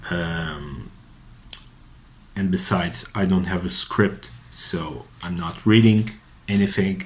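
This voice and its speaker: A man speaks very slowly with a very deep, low pitch and ordinary pitch variation, leaving long, frequent pauses. Noticeable background noise and audible room echo are present. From Portugal. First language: Portuguese. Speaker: psychotherapist. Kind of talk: unscripted monologue. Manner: halting, many fillers and repetitions.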